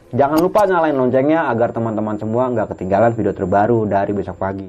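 A man speaks very fast at a medium pitch with lively intonation, and noticeable background noise runs underneath. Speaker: podcast host. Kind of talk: casual interview with channel intro.

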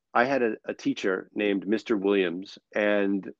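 An ordinary speaking voice: a man with an American accent and a fairly low pitch, his intonation fairly even. The sound is dry and close with no echo, over a quiet background. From New York City. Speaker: performer and author, speaker. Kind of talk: casual interview chat.

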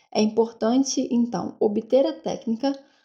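A woman speaks in a fairly high pitch with ordinary pitch variation. Her tone is dark and mellow. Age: 20s. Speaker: university student, podcast co-host. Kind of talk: semi-scripted educational podcast discussion.

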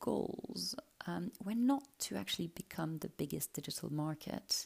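Vocal fry marks this voice, which moves at a moderate pace with very wide pitch swings. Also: woman. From Luxembourg and Brussels. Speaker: lawyer and podcast host. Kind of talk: scripted podcast narration. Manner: formal.

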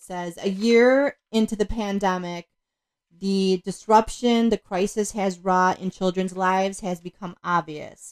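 A woman speaks at a moderate pace and medium pitch. Her intonation is fairly even, and the sound is dry and close with no echo. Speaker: guest co-host, host's mother. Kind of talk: casual chat.

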